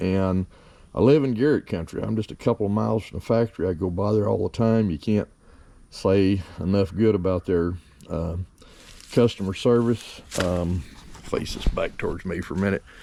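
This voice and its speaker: A man with a very deep, low voice and a dark, mellow tone speaks at a moderate pace with ordinary pitch variation, leaving long, frequent pauses. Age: 70s. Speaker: metal detecting hobbyist. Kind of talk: casual equipment review vlog. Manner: halting, many fillers.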